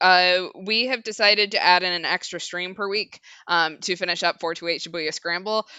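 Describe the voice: The clip consists of plain reading aloud.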